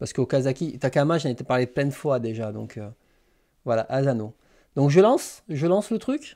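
Against a quiet background, a man talks at a moderate pace in a dark, mellow tone, with lively intonation and big swings in loudness. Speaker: manga YouTuber hosting a live stream; manga streamer. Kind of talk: casual live stream chat with viewers. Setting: live stream. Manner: hesitant, many fillers and repetitions. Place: home room.

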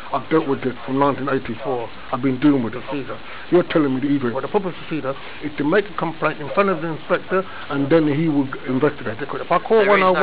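Speech at a very fast pace, with ordinary pitch variation, comes through noticeable background noise. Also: man. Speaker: member of the public at a police front desk. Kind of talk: argumentative complaint to an officer. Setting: police station front counter. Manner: loud. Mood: aggrieved, insistent. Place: office. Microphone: phone near.

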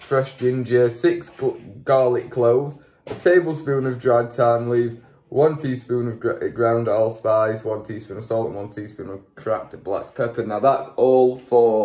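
A man's dark, mellow tone comes through somewhat breathy, with fairly even intonation. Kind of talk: tutorial. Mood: relaxed, self-deprecating. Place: kitchen. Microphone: lapel.

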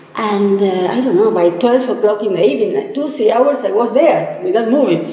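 A woman talks with very wide pitch swings and hardly any pauses. Room echo is audible. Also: moderate pace. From Argentina. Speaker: community member. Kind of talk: interview storytelling. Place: studio.

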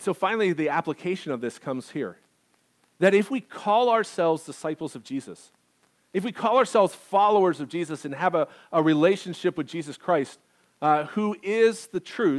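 A man with an American accent, high-pitched and lively, at a moderate pace against a quiet background. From rural US farming community. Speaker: pastor. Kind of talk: sermon. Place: church.

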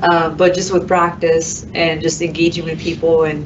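A woman with a fairly low pitch speaks at a fairly slow pace in a monotone, flat intonation, with noticeable background noise. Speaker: construction superintendent; panelist. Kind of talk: panel discussion. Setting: live panel in a room, streamed online. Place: studio.

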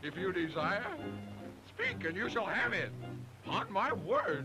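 Over faint music in the background, a man puts on a cartoonish character voice, high-pitched, bright and sharp, with lively intonation and a slow pace.

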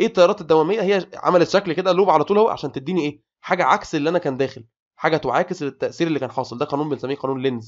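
A man with an Egyptian accent talks at a very fast pace in a fairly high pitch, his animated tone carrying ordinary pitch variation and hardly any pauses. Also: quiet background. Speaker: engineering tutor. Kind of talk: lecture.

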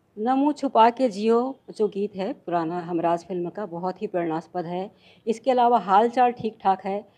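A woman speaks at a medium pitch in a Chhattisgarh accent, her tone dark and mellow. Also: ordinary pitch variation, fairly slow pace. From Chhattisgarh, India. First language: Chhattisgarhi (speaking Hindi). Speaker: professor and lyric translator; professor. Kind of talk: interview. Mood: calm, proud of work. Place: home room. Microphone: handheld.

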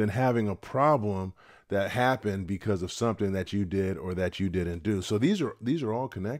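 Here is a normal speaking voice from a man with fairly low pitch and ordinary pitch variation. He goes at a fairly quick pace over a quiet background. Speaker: retirement channel host. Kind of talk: casual advice talk to camera. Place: home room. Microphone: studio mic.

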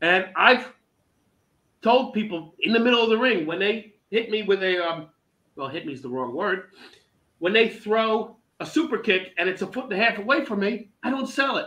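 A man speaks in a raised, projected voice at a moderate pace, his pitch high with a bright, sharp tone. His intonation is lively. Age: 50s. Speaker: veteran pro wrestler and teacher; podcast guest. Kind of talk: casual interview chat. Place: home room. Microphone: video call.

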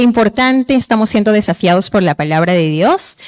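Against a quiet background, a woman talks. Her pitch is fairly high. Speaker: event presenter; presenter. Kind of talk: introductions and prayer. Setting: conference hall. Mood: warm, grateful. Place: hall. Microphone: handheld.

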